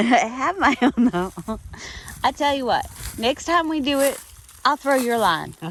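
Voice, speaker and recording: The speaker is loud and fairly slow, leaving long, frequent pauses over noticeable background noise. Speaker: hiking vlogger. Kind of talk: casual vlog narration. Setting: outdoors.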